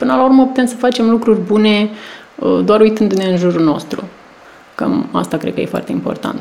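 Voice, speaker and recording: A woman with a fairly high voice speaks at a fairly quick pace, her intonation lively. Her speech has long, frequent pauses, and noticeable background noise is present. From Romania, small town in a wine region. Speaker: PR and marketing manager. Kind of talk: casual interview.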